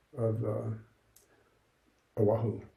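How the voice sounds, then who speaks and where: A man's fairly unhurried speech, set in an audibly echoing room. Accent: American. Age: 70s. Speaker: lay Buddhist practitioner, former monk. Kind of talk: interview. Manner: halting.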